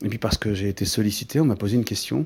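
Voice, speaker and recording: A man speaks very fast in a fairly low, somewhat breathy voice with a dark, mellow tone and ordinary pitch variation. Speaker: artist podcaster. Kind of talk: personal podcast monologue. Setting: artist's studio. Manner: calm, measured; hesitant, many fillers and repetitions.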